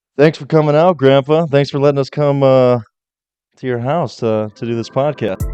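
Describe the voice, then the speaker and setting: Music plays in the background as a man speaks at a moderate pace. His pitch is fairly high and his intonation fairly even. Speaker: podcast host. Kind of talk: podcast interview questions.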